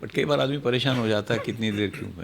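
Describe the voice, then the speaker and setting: A plain, everyday voice, moderately paced, its pitch varying in an ordinary way. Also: man. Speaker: retired senior law enforcement officer. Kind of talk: podcast interview.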